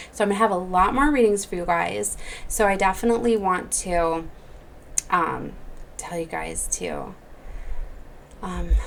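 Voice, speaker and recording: A woman speaks with long, frequent pauses. Audible room echo and noticeable background noise surround her voice. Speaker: psychic tarot reader. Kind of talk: channeled spiritual message video. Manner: fast; casual with many fillers.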